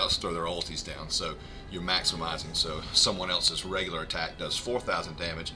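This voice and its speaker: A man talks at a very fast clip with audible echo from the room. Music plays behind him. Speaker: video game streamer. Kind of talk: gameplay tutorial livestream. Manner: hesitant, many fillers.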